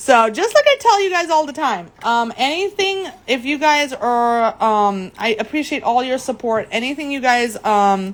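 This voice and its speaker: Speaking at a fairly slow pace with hardly any pauses, a woman uses a high pitch, lively intonation and a cheerful, animated tone. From Germany. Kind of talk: live craft demo. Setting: livestream. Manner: hesitant, many fillers.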